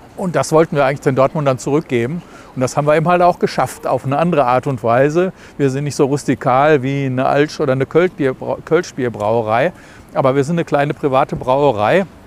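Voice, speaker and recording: Dry and close with no echo, the recording carries a man's unremarkable speaking voice, fairly high in pitch and at a fairly quick pace. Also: ordinary pitch variation. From Germany, Dortmund. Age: 60s. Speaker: brewery managing director. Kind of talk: interview.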